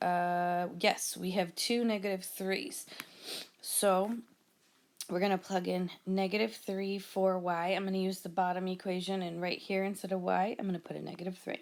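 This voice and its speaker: A woman's medium-pitched, a plain, everyday voice, with fairly even intonation and a moderate pace. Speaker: math teacher. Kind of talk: tutorial.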